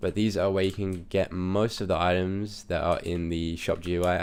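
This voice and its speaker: A man's very deep, low voice in a monotone with flat intonation. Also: very clean recording, silent background. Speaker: Minecraft server owner and YouTuber. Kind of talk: gameplay tutorial. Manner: hesitant, many fillers.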